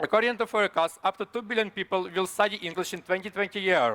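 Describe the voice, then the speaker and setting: Talking at a very fast pace, a man has a bright, sharp tone in a dry, close recording with no echo. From Ukraine. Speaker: startup founder. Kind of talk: startup pitch. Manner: halting.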